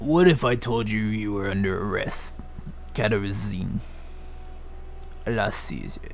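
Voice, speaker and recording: Against clear background noise, a man in a put-on character voice speaks at a fairly low pitch and moderate pace, with long, frequent pauses. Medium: game stream. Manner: blunt, gruff.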